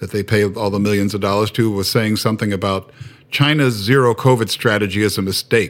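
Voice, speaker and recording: With an American accent, a man speaks fairly low in pitch using fairly even intonation. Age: 50s. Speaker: firefighter. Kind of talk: casual chat. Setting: video call. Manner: halting.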